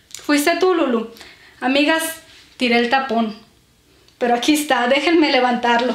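A high-pitched woman speaks at a fairly slow pace with ordinary pitch variation and long, frequent pauses. Audible room echo surrounds her voice. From Mexico, Sonora. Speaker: beauty and perfume vlogger. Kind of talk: casual vlog talking to camera. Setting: at home, filming herself. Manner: warm, chatty. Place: home room. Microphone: camera far.

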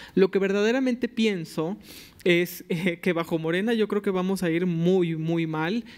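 A man speaks at a high pitch with ordinary pitch variation. His pace is fairly slow. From Mexico, Tabasco. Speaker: environmental lawyer, youth panelist; environmental lawyer, panelist. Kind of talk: panel discussion. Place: hall. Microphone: podium.

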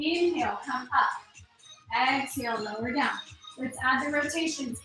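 Faint music plays in the background as a woman speaks in a high voice with ordinary pitch variation, amid audible room echo. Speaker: fitness instructor. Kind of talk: exercise class instruction. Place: home room. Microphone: camera far.

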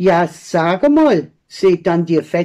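Speaking at a very slow pace with an Allgäu accent, a woman's dark, mellow voice swings very widely in pitch. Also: quiet background. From Allgäu, Bavaria. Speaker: dialect poet. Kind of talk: poetry reading. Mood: humorous, lively storytelling. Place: home room. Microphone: phone near.

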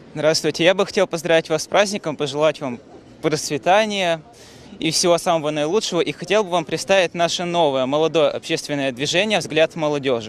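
A man with a fairly high pitch is speaking. His pace is fairly quick and his pitch varies in an ordinary way. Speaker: TV reporter. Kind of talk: live field report. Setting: in a car. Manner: animated.

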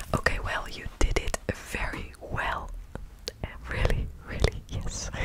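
A soft-spoken woman with a gentle tone talks at a very slow pace. The sound is dry with no echo, but the background noise is loud. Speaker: ASMR creator. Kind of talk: soft ASMR talk to viewer. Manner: soft, gentle close-mic ASMR praise. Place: home room. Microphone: studio mic.

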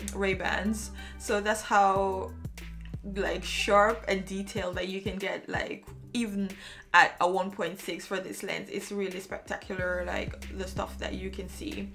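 Over clear music in the background, a woman talks at a fairly slow pace. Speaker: photographer reviewing a lens. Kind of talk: tutorial. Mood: enthusiastic. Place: home room.

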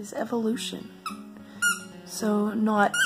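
Music is playing behind the speech. The speaker is a woman. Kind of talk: casual talk to camera.

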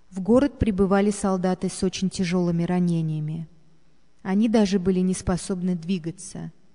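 The woman's voice is medium in pitch with a dark, mellow tone and fairly even intonation, set against a quiet background. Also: moderate pace. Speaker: narrator reading a memoir.

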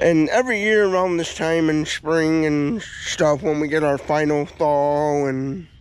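At a fairly slow pace, a man speaks in a dry sound with no echo. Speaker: local vlogger. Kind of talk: casual vlog chat. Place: open country. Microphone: phone near.

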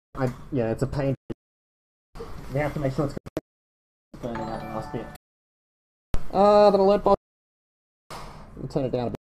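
A woman with a very deep, low pitch talks at a fairly quick pace, her pitch swinging very widely and broken by long, frequent pauses. Music plays in the background, and the sound is dry and close with no echo. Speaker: biotech company founder livestreaming lab work. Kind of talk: livestream lab demonstration. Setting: lab, livestream. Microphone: USB mic muffled by mask, cutting out.

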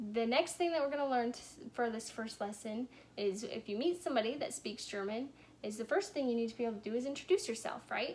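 At a very fast pace, a woman speaks with lively intonation. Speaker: teacher of a kids' language lesson. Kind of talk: tutorial for children. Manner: casual, friendly. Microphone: phone near.

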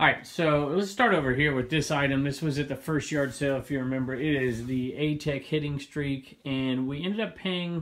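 The background stays quiet. A man talks at a medium pace. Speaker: reseller vlogger. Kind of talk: casual vlog chat. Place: home room. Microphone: phone near.

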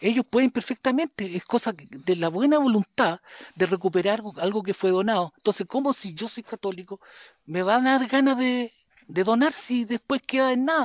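A man's high-pitched voice with lively intonation at a moderate pace, on a very clean recording with a silent background. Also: dry, close sound with no echo. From Chile, Maule region (San Javier, Panimávida). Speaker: local community activist. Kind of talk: interview testimony.

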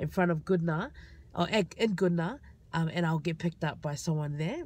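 This is an unremarkable speaking voice with fairly even intonation. The sound is dry with no echo. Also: woman. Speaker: vlogger. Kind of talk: casual vlog storytelling. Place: car. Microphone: phone near.

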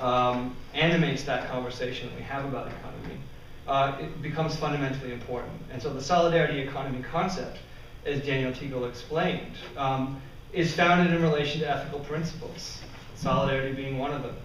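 A man talks at a very fast pace with fairly even intonation. Audible room echo and light background noise surround his voice. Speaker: conference presenter. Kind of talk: lecture. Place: classroom. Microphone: camera far.

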